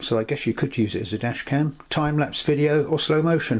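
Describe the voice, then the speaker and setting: A man with a fairly high pitch talks at a moderate pace, sounding somewhat breathy. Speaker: camera reviewer. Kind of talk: tutorial.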